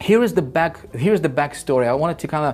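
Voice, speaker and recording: Speaking at a very fast pace with a non-native accent, a man delivers his words in an animated tone. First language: not English. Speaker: online marketing course creator. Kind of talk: sales pitch.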